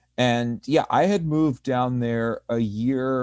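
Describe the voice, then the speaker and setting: A man's dark, mellow voice with a Northeastern US accent and ordinary pitch variation, over a quiet background. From US Northeast. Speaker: community organizer. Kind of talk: panel discussion.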